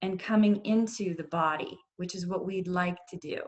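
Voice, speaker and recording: In a calm tone, a woman speaks with a somewhat breathy voice. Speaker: yoga and mindfulness instructor. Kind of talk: workshop instruction. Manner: slow.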